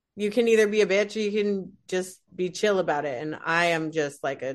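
A woman with an American accent speaks in a plain, everyday voice at medium pitch with ordinary pitch variation against a quiet background. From Utah (Salt Lake City). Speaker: comedian. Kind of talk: casual chat.

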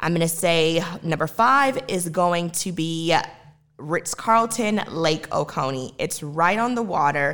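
Here is a plain, everyday voice with an American accent. It moves at a fairly slow pace with ordinary pitch variation. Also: woman. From US South, Georgia (Lawrenceville). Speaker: podcast host. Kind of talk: solo podcast recommendations monologue.

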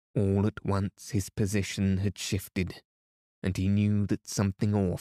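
An unforced reading voice over a quiet background

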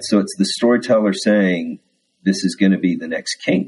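At a moderate pace, a man speaks with a dark, mellow tone and ordinary pitch variation. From Texas. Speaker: Episcopal priest. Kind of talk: casual interview chat.

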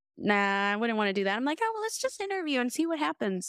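The recording is very clean and the background silent. A woman talks in an American accent. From US South, New Orleans. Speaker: IT specialist and Air Force veteran. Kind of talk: interview.

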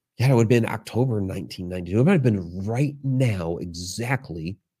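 On a very clean recording with a silent background, a man speaks in a dark, mellow, somewhat breathy tone at a fairly low pitch. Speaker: author and paranormal researcher. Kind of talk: interactive class talk. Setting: live stream. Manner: casual, storytelling with many fillers.

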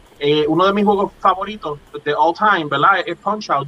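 Fairly quick and fairly even in intonation, a man speaks at a high pitch. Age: 40s. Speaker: pixel artist. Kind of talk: interview.

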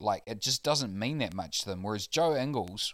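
Speaking with a New Zealand accent, a man with a fairly low pitch uses lively intonation. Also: very clean recording, silent background. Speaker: basketball podcast panelist. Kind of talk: casual chat.

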